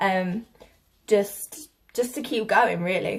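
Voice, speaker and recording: A woman speaks with a British accent at a medium pitch. Her pitch varies in an ordinary way. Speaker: vlogger. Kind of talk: casual vlog talk. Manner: hesitant, lots of fillers.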